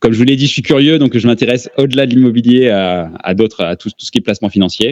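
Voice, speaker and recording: This man talks at a moderate pace with ordinary pitch variation. His voice sounds dry and close, without any echo. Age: 30s. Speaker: real estate investor. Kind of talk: interview. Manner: hesitant, many fillers.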